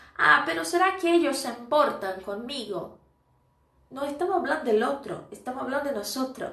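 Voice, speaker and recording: A woman with a high pitch and a raised, projected voice makes very wide pitch swings amid audible room echo. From Brazil. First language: Portuguese (speaking Spanish). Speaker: Spanish teacher. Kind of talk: live stream lesson. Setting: live stream. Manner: casual, conversational.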